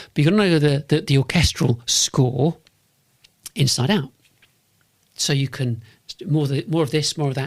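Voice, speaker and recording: A man with a London accent, fairly high pitch, ordinary pitch variation, a somewhat breathy quality, a moderate pace and long, frequent pauses. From North London, England. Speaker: podcast host and business consultant. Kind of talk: monologue podcast pitch. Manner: repetitive, restarts phrases; sharp, direct.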